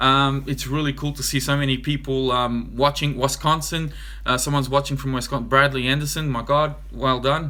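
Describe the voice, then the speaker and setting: A man with a fairly high pitch speaks at a fairly quick pace in a monotone, flat intonation, with hardly any pauses. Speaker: RC hobby YouTuber. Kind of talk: live stream Q&A. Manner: fast.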